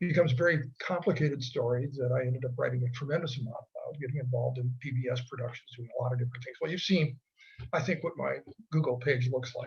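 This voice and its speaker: A man at a medium pitch, somewhat breathy, with fairly even intonation and a very fast pace. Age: 80s+. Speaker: retired history professor. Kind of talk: casual chat. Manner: conversational with fillers.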